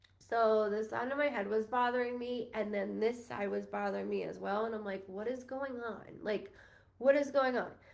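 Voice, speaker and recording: Heard with audible room echo, a woman with an American accent speaks at a moderate pace in a fairly high pitch, her intonation fairly even. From Long Island, New York. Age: 30s. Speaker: psychic medium. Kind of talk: live stream psychic reading. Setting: Facebook live stream. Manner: stutters when spirits come through; emotional, near tears.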